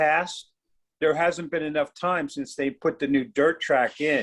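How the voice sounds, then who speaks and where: There's a man with a normal speaking voice and a fairly high pitch. He talks at a moderate pace with ordinary pitch variation against a quiet background. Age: 60s. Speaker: horse racing fan. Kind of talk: casual discussion. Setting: video call.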